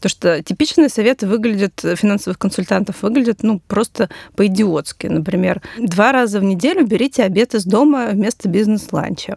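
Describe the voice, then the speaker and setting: Her voice is an unremarkable speaking voice, a woman at a fairly quick pace with ordinary pitch variation and a dry, close sound with no echo. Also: medium pitch for a woman. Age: 30s. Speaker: financial journalist. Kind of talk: casual chat. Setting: studio.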